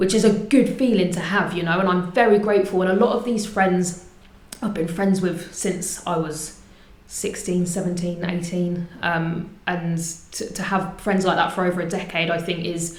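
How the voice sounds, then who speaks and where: Heard through noticeable background noise and audible room echo, the speaker uses fairly even intonation with a southern English accent. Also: woman, medium pitch for a woman, moderate pace. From England, Portsmouth. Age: 30s. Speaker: community group founder. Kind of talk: interview.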